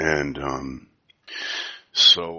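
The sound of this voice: A man talks quietly with vocal fry. His tone is bright and sharp.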